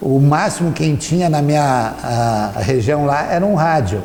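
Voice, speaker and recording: In a room with audible echo and noticeable background noise, a man speaks with lively intonation. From Rio Grande do Sul, Brazil. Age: 60s. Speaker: local resident interviewee. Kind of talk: interview testimony. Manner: hesitant, with fillers.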